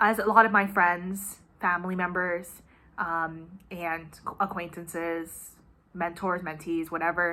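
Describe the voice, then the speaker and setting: A bright, sharp voice with an American accent speaks in a monotone, flat intonation. Long pauses come often. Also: woman, fairly low pitch for a woman. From United States. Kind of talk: casual talk to camera. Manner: emotional, earnest.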